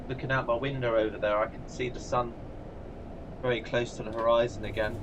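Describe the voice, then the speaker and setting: A man with an English accent talks at a fairly quick pace and medium pitch in a monotone, flat delivery, with audible room echo and noticeable background noise. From England. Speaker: gaming streamer. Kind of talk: live stream commentary. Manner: casual, chatty.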